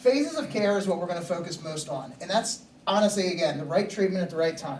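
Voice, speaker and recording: A man speaks at a very fast pace in a high pitch. Audible room echo and noticeable background noise surround the recording. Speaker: EMS assistant chief and SWAT team medic instructor. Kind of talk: lecture.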